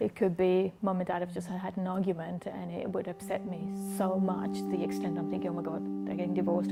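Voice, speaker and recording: A woman's fairly quick speech has music in the background. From Kenya. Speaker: documentary interviewee. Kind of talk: interview testimony.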